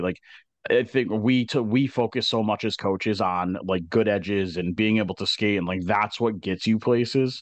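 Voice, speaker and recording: With an ordinary speaking voice, a man speaks at a fairly low pitch and fairly even intonation against a quiet background. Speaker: podcast co-host and college hockey coach. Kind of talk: casual interview chat.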